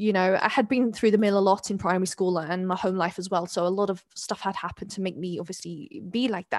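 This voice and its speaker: Talking at a very fast pace with hardly any pauses, a woman with an English accent shows ordinary pitch variation on a very clean recording with a silent background. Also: medium pitch for a woman. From London (East London), born in South Wales. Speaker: convert and community mentor. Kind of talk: interview conversation.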